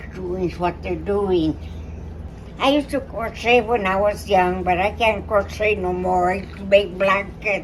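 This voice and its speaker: A woman speaks fairly slowly while noticeable noise runs behind her. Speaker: pageant contestant. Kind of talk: interview. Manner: halting.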